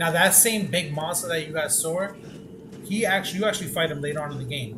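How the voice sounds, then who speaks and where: A man talks at a very fast pace. Noticeable background noise and audible room echo are present. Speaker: gaming streamer. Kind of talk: gameplay tutorial commentary.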